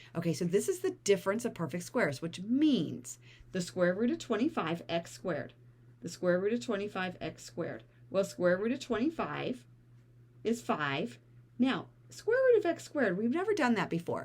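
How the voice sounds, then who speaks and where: A woman's medium-pitched voice with vocal fry, very wide pitch swings and a moderate pace. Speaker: math teacher. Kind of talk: tutorial.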